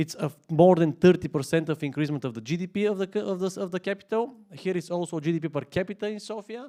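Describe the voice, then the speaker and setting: A man with a high pitch and a dark, mellow tone talks at a very fast pace with hardly any pauses. His intonation is lively. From Bulgaria. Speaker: municipal investment official. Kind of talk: conference presentation. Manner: hesitant, many fillers.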